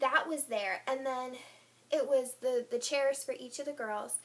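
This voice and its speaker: A woman talks rather slowly, her voice sitting high in pitch. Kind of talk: casual talk to camera. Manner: rambling.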